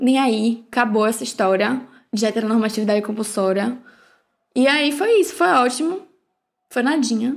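A woman with a fairly high voice, lively intonation and very even loudness, at a moderate pace with long, frequent pauses, on a very clean recording with a silent background. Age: 20s. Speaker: podcast host. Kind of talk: casual chat.

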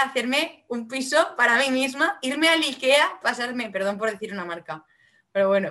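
A woman's bright, sharp, fairly high voice with lively intonation and a Valencian accent. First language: Valencian Catalan (speaking Spanish). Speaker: singer-songwriter. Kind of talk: casual interview.

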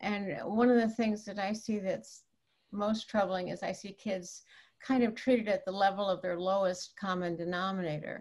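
The speaker is a woman whose voice sits at a medium pitch. There is a somewhat breathy quality to it. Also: moderate pace. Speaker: clinical psychologist. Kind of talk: panel discussion.

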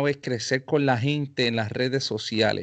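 A man speaks with a Puerto Rican accent. The background is quiet. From Puerto Rico, Carolina. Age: 30s. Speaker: podcast host and professional musician. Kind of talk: casual interview chat.

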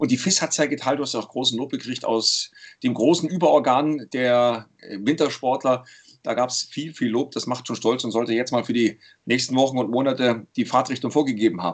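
At a fairly quick pace, a man talks in an ordinary speaking voice of medium pitch, with ordinary pitch variation. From Saxony, eastern Germany (Leipzig). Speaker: sports commentator and podcast host. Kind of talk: casual chat.

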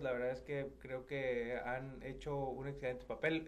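Over noticeable background noise and audible room echo, a man speaks very slowly at a medium pitch. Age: 30s. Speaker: state legislator. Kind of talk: radio interview. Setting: radio studio.

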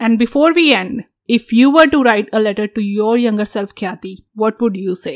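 A woman speaks at a moderate pace in a fairly high pitch with ordinary pitch variation, an unremarkable speaking voice, and the sound is dry and close with no echo. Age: 30s. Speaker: podcast host. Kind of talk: casual chat.

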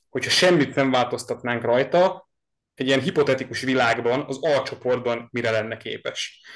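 This man has an ordinary speaking voice, medium in pitch, with ordinary pitch variation. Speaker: podcast host, sports fan. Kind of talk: casual sports podcast chat.

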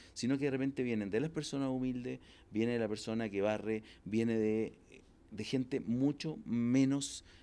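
In a very clean recording with a silent background, a man with a Chilean accent speaks in a dark, mellow tone with fairly even intonation. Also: medium pitch for a man, moderate pace. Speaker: entrepreneur and executive coach. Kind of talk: casual interview. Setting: in-person interview. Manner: loud.

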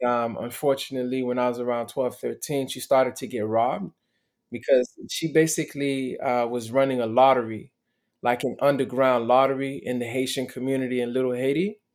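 A man with an unremarkable speaking voice talks at a fairly quick pace, medium pitch and fairly even intonation. The recording is very clean with a silent background. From Miami, US (born in Montreal). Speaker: motivational speaker. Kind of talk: interview testimony.

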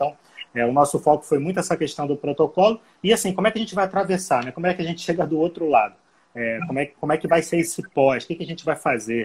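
A man talks very fast in a somewhat breathy voice, his pitch varying in an ordinary way. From Rio de Janeiro, Brazil. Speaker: hostel co-founder. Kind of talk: casual live-stream conversation. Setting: Instagram live.

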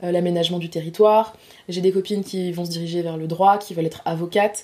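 Her dark, mellow voice is fairly low for a woman and monotone, with flat intonation, moving at a fairly quick pace. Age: 20s. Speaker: master's student. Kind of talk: casual interview. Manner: hesitant, many fillers.

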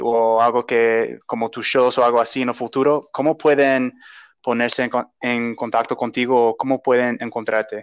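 Against a quiet background, a man talks at a medium pitch, the sound dry and close with no echo. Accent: English. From United States. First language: English (speaking Spanish). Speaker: podcast host. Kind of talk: interview. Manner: halting.

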